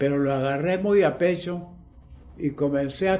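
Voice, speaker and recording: A dark, mellow voice moves at a very slow pace with ordinary pitch variation, heard with audible room echo. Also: man. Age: 80s+. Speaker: witness of historical events. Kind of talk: interview testimony.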